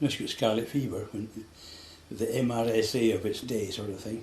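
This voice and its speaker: In a west Highland Scottish accent, a man at medium pitch speaks at a moderate pace with fairly even intonation, amid audible room echo and noticeable background noise. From Scotland, west Highlands. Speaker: local elder interviewed about local history. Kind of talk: oral history interview.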